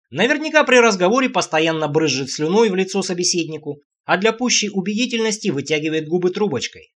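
Over a quiet background comes a natural reading voice with lively intonation.

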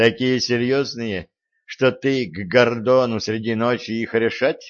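The delivery is an unforced reading voice with fairly even intonation. Behind it, all is quiet.

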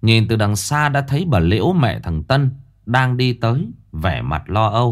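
This is reading aloud in a natural voice. The pitch variation is ordinary.

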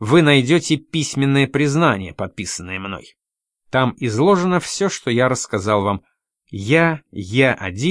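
Plain reading aloud over a quiet background, full of lively intonation

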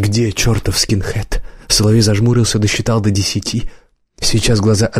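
Over a quiet background, the speaker is reading aloud in a natural voice with fairly even intonation.

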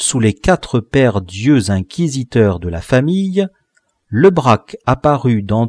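Someone reads aloud in a natural voice while the background stays quiet.

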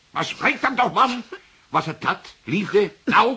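A put-on character voice comes through at a slow pace. Its bright, sharp tone has vocal fry and a husky, rough edge. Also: man, high pitch for a man, lively intonation.

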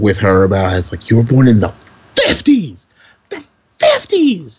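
Somewhat breathy and fairly slow, a man speaks with an American accent and ordinary pitch variation. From US Northeast, Brooklyn, New York. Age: 30s. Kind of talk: casual chat. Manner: animated.

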